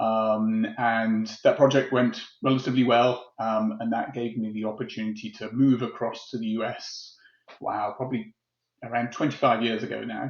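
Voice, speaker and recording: A man with a British accent, speaking at a moderate pace in a monotone, flat intonation. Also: medium pitch for a man. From UK. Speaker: tech executive. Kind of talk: interview. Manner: hesitant, many fillers.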